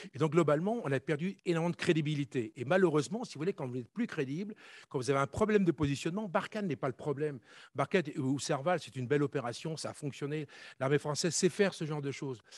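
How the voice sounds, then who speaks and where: A man speaking at a very fast pace with a fairly high pitch and ordinary pitch variation, dry and close with no echo, on a very clean recording over a silent background. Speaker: conference panelist, former army officer. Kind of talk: conference talk.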